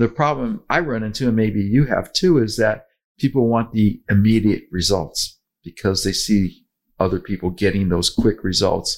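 In a very clean recording with a silent background, a man speaks in an ordinary speaking voice at a moderate pace, his pitch fairly low with ordinary variation. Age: 60s. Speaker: podcast host, weight loss author. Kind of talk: casual chat.

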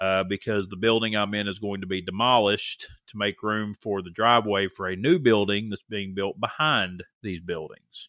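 An unremarkable speaking voice from a man with an American accent, fairly low in pitch, with fairly even intonation, a moderate pace, big swings in loudness and hardly any pauses. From US South. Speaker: podcast host and school teacher. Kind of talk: casual chat.

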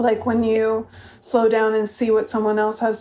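Speaking at a fairly quick pace, a woman with an unremarkable speaking voice has a fairly high pitch. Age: 40s. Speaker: author and witch. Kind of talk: casual chat. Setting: internet call.

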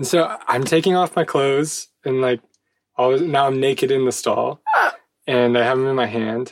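A man with an ordinary speaking voice talks at a moderate pace, his medium pitch showing ordinary variation. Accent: American. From United States. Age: 30s. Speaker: podcast co-host. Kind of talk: casual chat.

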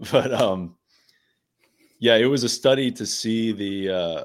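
In a very clean recording with a silent background, the speaker has an American accent. The pace is fairly slow. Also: man. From Pittsburgh area, Pennsylvania. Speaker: wildlife biologist. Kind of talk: casual chat.

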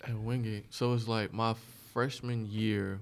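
Using a plain, everyday voice, a man talks at a fairly slow pace with an American accent. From New York (Bronx), then South Carolina from middle school. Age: 30s. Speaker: DJ. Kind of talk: casual chat.

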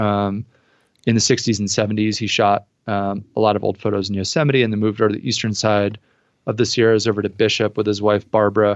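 In an American accent, a man with fairly low pitch speaks at a very fast pace in a flat monotone. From New Jersey. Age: 30s. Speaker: professional photographer and spirits company founder. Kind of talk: interview conversation.

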